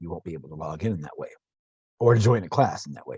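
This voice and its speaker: The sound is dry and close with no echo as a man speaks at a medium pitch, somewhat breathy. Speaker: university instructor. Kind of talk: tutorial. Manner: halting, stumbling over words.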